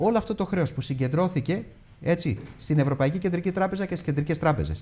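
The speaker talks at a fairly quick pace with ordinary pitch variation. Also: man. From Greece. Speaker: European Parliament candidate; candidate. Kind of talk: heated debate. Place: studio. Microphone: lapel.

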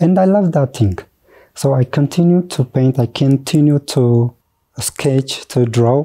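Over a quiet background, a man with a fairly high pitch and a dark, mellow tone speaks very slowly. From Ethiopia, Borana/Moyale border region; Ethiopia. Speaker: teacher, school counselor and artist; teacher. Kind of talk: interview. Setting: studio. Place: studio. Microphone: lapel.

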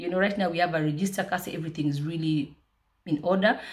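Against a quiet background, a woman talks at a very fast pace in a somewhat breathy voice. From Kenya, South Nyanza; Kenya. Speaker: food business owner and vlogger; vlogger. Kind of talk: motivational vlog. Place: home room. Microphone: phone near.

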